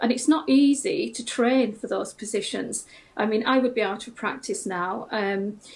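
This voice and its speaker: With lively intonation and a somewhat breathy, fairly high voice, a woman talks at a moderate pace. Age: 60s. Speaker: retired nurse. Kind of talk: TV news interview. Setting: video call. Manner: hesitant, many fillers.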